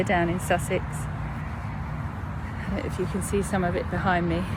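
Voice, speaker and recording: Against noticeable background noise and audible room echo, a woman with a southern English accent talks at a fairly slow pace. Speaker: mindfulness coach. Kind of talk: guided meditation. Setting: outdoors. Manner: slowing down over time.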